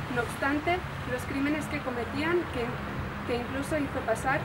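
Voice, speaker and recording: A woman speaks at a moderate pace. Loud background noise runs throughout. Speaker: reader at a memorial ceremony. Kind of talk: formal reading aloud. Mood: solemn. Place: street. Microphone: camera far.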